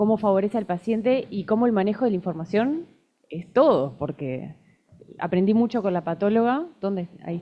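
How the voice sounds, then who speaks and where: Speaking at a fairly quick pace, a woman with a medium pitch uses lively intonation. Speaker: cancer genetics doctor. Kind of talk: conference talk. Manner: fast.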